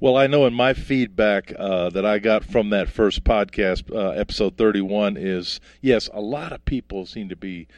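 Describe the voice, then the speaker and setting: A man has an ordinary speaking voice, with a fairly low pitch, ordinary pitch variation and a moderate pace against a quiet background. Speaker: podcast host. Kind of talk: interview.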